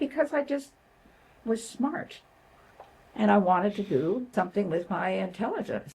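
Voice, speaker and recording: A woman's medium-pitched voice with a Canadian accent, very wide pitch swings, vocal fry, a moderate pace, and long, frequent pauses. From Canada, northern Ontario (Sudbury). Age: 80s+. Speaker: retired nurse and social worker. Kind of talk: interview conversation.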